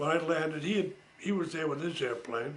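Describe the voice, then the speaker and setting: Audible room echo surrounds a man with a fairly high pitch. He speaks at a moderate pace with ordinary pitch variation. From Massachusetts. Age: 80s+. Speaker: war veteran. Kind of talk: storytelling. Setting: home. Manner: casual.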